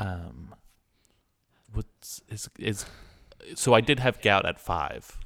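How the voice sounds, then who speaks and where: Very slow speech with long, frequent pauses, vocal fry and lively intonation. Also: man, fairly low pitch for a man. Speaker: podcast producer and co-host. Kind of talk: improvised comedy chat.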